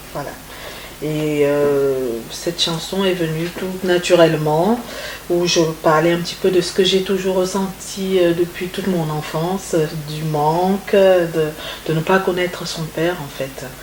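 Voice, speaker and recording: A woman's fairly low, fairly even voice at a fairly slow pace, with audible room echo and noticeable background noise. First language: Congolese language (speaking French). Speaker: singer. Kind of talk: interview. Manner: halting.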